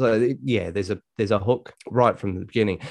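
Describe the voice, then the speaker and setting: The speaker talks very fast in an Australian accent. The background is quiet. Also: man. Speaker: podcast co-host. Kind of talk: casual chat.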